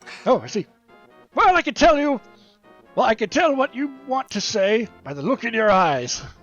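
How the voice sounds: Over faint music in the background, a man uses a put-on character voice at an extremely high pitch with very wide pitch swings and long, frequent pauses. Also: moderate pace.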